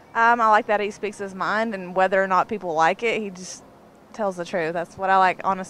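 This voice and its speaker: With a Southern US accent, a woman talks at a fairly quick pace and medium pitch with fairly even intonation, in a dry sound with no echo and light background noise. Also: big swings in loudness. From Tennessee (Nashville); Tennessee. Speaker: interviewee. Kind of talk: casual interview. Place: street. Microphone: handheld.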